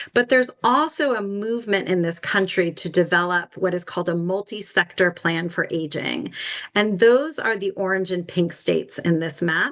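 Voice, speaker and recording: A woman talks in a normal speaking voice at a medium pitch with lively intonation. Her pace is moderate, with hardly any pauses. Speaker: nonprofit executive director presenting a policy brief. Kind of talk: webinar presentation.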